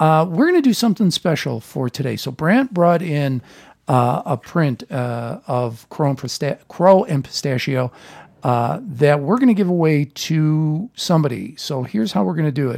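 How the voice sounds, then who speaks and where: With a normal speaking voice and an American accent, a man talks at a moderate pace in a fairly high pitch with lively intonation, recorded dry and close with no echo on a very clean recording with a silent background. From US Midwest (Chicago). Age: 50s. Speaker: podcast host. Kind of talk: casual chat.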